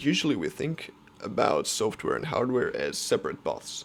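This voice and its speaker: This man has a non-native accent. He talks fairly slowly. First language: not English. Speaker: software developer and student vlogger. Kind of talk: casual tutorial vlog. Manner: halting, many fillers.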